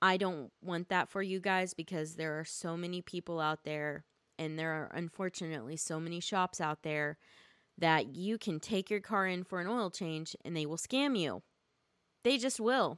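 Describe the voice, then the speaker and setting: Recorded very cleanly against a silent background, with a dry, close sound and no echo, a woman talks at a medium pitch and a moderate pace. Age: 30s. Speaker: podcast host. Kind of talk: casual monologue. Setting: home recording. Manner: rambling with frequent fillers.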